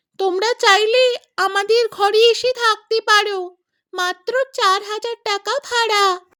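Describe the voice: Cackling in a cartoonish character voice, a female-sounding speaker talks at a fairly slow pace in an extremely high pitch.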